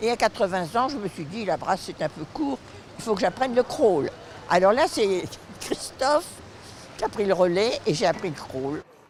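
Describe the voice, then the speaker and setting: A woman's voice at a moderate pace, with very wide pitch swings and noticeable background noise. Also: medium pitch for a woman. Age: 90s. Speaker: masters swimmer. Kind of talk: interview.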